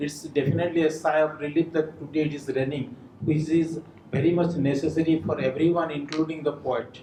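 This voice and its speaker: Over noticeable background noise, a man with an Odisha accent speaks in a monotone, flat intonation. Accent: Indian English, Odia. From India, Odisha. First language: Odia. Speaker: writer. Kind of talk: speech at a book launch. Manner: halting.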